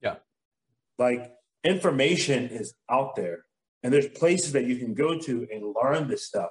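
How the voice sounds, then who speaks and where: A somewhat breathy man speaks at medium pitch with ordinary pitch variation. His pace is moderate, broken by long, frequent pauses. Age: 30s. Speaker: massage therapist and business owner. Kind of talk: casual chat.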